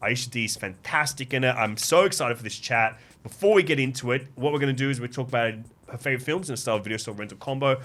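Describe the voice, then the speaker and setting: A man speaks at a very fast pace with a medium pitch. His tone is animated, and his pitch varies in an ordinary way. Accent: Greek Australian. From Sydney, Australia (Canterbury, Greek Australian). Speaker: podcast host. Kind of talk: casual chat.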